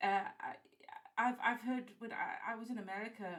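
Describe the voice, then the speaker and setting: At a fairly quick pace, a woman with a South African accent speaks with ordinary pitch variation. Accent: English-speaking South African. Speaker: game developer, former games journalist. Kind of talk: interview.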